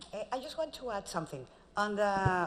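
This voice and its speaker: A woman talks with a Spanish accent. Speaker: magazine publisher sales representative. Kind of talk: sales pitch.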